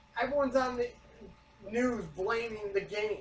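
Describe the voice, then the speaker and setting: This man speaks loudly. His pitch is extremely high. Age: 30s. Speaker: podcast co-host. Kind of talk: casual chat.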